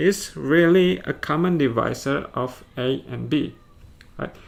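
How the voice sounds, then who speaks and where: With an Indonesian accent, a man speaks at a very slow pace. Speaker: math teacher. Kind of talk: lecture. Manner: halting.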